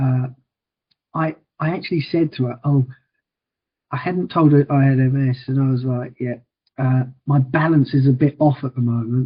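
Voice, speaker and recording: A man with an Essex accent speaks at medium pitch, somewhat breathy. He takes long, frequent pauses. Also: fairly even intonation, moderate pace. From Liverpool, England. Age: 40s. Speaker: wheelchair challenge fundraiser with MS. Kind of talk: podcast interview. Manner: repetitive stammering starts.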